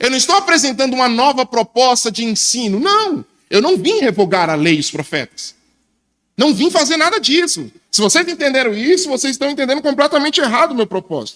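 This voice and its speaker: Extremely high in pitch, a man speaks in a bright, sharp tone with very wide pitch swings. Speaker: preacher. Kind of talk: sermon.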